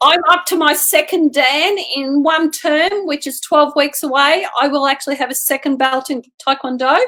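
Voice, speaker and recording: Hardly pausing, a woman with an Australian accent projects a raised, high, bright and sharp voice at a moderate pace with ordinary pitch variation. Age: 60s. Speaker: martial artist and amateur athlete. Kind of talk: interview.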